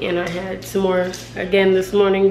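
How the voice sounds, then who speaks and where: There's clear background noise throughout. Through it, a woman talks in a mid-range register. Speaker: vlogger. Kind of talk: casual talk to camera.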